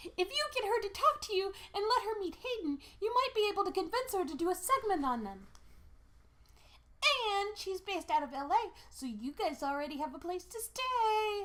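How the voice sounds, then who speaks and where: A put-on character voice, extremely high in pitch, at a moderate pace. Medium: read story. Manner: energetic, persuasive.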